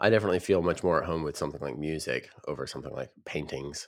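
This very fast voice carries vocal fry and ordinary pitch variation on a very clean recording with a silent background. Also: man. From US South, Nashville region. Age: young. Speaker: podcast co-host and coder. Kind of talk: casual chat.

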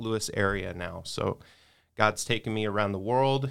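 Ordinary pitch variation marks this man's speech, delivered in a plain, everyday voice. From US South (Houston, Texas). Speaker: pastor. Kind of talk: interview conversation. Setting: studio.

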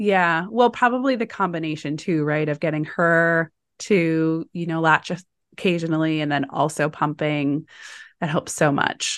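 A woman with a fairly low pitch speaks in a warm, enthusiastic tone at a moderate pace. Her pitch varies in an ordinary way, and the background is quiet. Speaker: podcast host. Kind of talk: interview, intro scripted.

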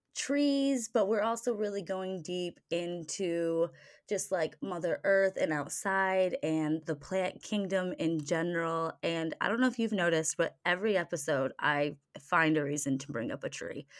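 A woman's unremarkable speaking voice with an American accent, fairly low in pitch, lively in intonation and fairly slow in pace, on a very clean recording with a silent background. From Michigan, US Midwest. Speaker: podcast co-host. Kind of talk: casual chat.

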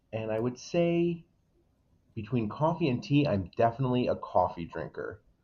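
A man with an American accent, an ordinary speaking voice of medium pitch, lively intonation and a moderate pace. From Waterbury, Connecticut. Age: 20s. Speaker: local political candidate. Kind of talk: casual interview.

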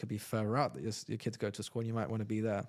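A man with a London accent talks in a fairly low pitch with monotone, flat intonation. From London, England. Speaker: real estate agent. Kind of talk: interview.

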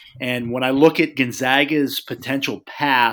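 Here is a man with a plain, everyday voice. He speaks at a moderate pace. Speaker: college basketball guest analyst. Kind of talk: casual chat.

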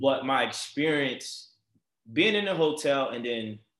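A man with a Baltimore accent, fairly high-pitched, with lively intonation. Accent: Baltimore urban American English. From Baltimore, US. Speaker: podcast host. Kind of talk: casual interview conversation. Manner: animated, enthusiastic.

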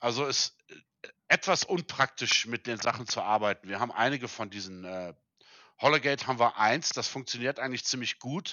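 In a plain, everyday voice, a man talks at medium pitch and a moderate pace, his pitch varying in an ordinary way. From South Africa. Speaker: family entertainment center specialist. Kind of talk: interview.

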